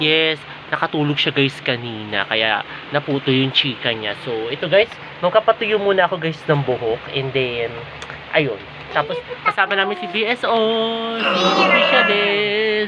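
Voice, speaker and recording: A woman's very deep, low voice with very wide pitch swings, a fairly slow pace and noticeable background noise. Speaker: vlogger. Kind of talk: casual vlog. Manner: soft-spoken.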